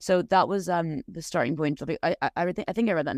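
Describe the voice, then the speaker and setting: Talking at a very fast pace with an Irish accent, a woman shows ordinary pitch variation in a dry, close sound with no echo. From Ireland. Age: 30s. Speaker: novelist. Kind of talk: casual interview. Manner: hesitant, many fillers.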